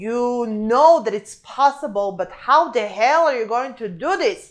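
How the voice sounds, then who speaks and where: With very wide pitch swings, a woman speaks fairly slowly in a high pitch over a quiet background. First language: not English (English is her third language). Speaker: real estate agent and team owner. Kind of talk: motivational talk to camera. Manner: animated.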